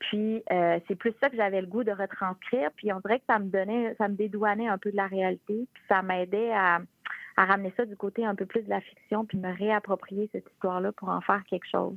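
Big swings in loudness mark a woman's monotone, flat delivery at a moderate pace. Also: medium pitch for a woman. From Quebec, Charlevoix (La Malbaie). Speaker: author. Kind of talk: interview. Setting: phone call.

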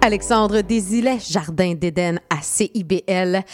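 This Quebec-accented voice has a dry, close sound with no echo. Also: woman. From Quebec, Saint-Jean-sur-Richelieu (South Shore of Montreal). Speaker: radio host. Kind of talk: radio music countdown hosting. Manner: casual, chatty with fillers.

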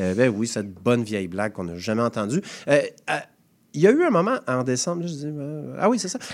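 Speaking at a fairly quick pace with long, frequent pauses, a man at medium pitch makes very wide pitch swings on a very clean recording with a silent background. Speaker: comedian co-host of community radio show. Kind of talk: comedic radio banter.

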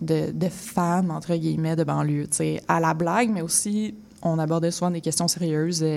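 A woman with a dark, mellow tone and fairly low pitch speaks at a fairly slow pace. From Quebec, Laurentides suburbs (Mirabel, Saint-Janvier). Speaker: collage artist and zine maker. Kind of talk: radio interview.

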